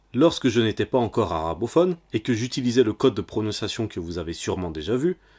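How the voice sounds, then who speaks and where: The recording is very clean, with a silent background and a dry, close sound free of echo. A man speaks at a medium pitch. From French-speaking country. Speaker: religious teacher. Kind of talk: tutorial. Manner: formal.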